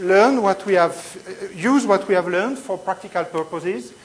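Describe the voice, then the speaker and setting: With a French accent and ordinary pitch variation, the voice comes through noticeable background noise and audible room echo. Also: woman. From Switzerland. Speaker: physics lecturer. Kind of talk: lecture.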